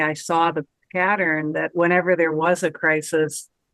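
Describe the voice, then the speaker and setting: Speaking at a fairly slow pace with fairly even intonation, a woman has a fairly low pitch and a normal speaking voice. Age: 60s. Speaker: retired professor and uncertainty coach. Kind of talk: interview conversation.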